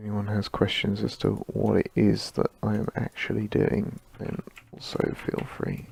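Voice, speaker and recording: Mumbling from a man at a fairly slow pace, dry and close with no echo, amid noticeable background noise. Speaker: animator streaming his work. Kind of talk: live stream tutorial-style work commentary.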